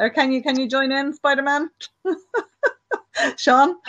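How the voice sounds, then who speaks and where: High-pitched woman's voice with an Irish accent, lively intonation and a moderate pace. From Ireland. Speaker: online show host. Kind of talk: casual chat.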